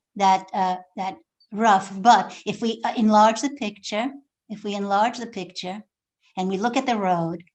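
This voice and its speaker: A woman's fairly high voice at a moderate pace, fairly even in intonation, over a quiet background. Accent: Polish. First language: Polish. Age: 70s. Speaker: author. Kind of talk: talk to a school class. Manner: halting.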